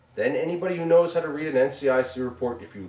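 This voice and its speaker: This man has a Long Island accent and a medium pitch. He talks at a fairly quick pace. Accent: New York (Long Island). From Long Island, New York. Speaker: businessman and show co-producer. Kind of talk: interview testimony. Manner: loud; animated.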